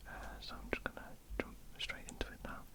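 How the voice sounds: A woman whispering at a fairly quick pace.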